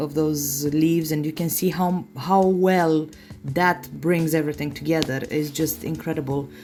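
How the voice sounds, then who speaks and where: A woman speaks with a non-native accent at a fairly low pitch. Her pace is fairly slow. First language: not English. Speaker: nail artist. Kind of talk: tutorial. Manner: halting, many fillers.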